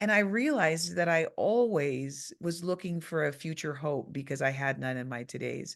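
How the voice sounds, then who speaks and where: Over a quiet background, a woman with a very deep, low pitch speaks at a moderate pace with lively intonation and hardly any pauses. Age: 50s. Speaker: podcast host. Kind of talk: casual chat.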